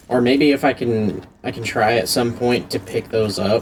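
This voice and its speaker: A man talks at a medium pitch with noticeable background noise around him. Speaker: gaming youtuber. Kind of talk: gameplay commentary. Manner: loud. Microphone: poor vocal audio.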